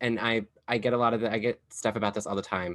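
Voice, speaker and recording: Bright and sharp in tone, a man speaks with an American accent and ordinary pitch variation. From US South, Kentucky. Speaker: podcast host and drag performer. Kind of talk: casual chat.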